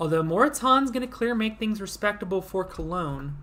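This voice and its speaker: This woman talks at a moderate pace with vocal fry and very wide swings in pitch. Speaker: simulated league commentator. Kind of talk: play-by-play commentary.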